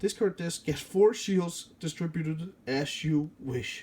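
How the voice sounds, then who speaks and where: With a Danish accent, this man has a dark, mellow tone, high pitch and ordinary pitch variation. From Denmark. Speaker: card game YouTuber. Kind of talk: tutorial. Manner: casual, with hesitations and self-corrections.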